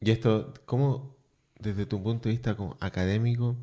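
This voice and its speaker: There is a dark, mellow tone to this man's voice, and the recording is very clean with a silent background. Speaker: radio host. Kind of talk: radio interview.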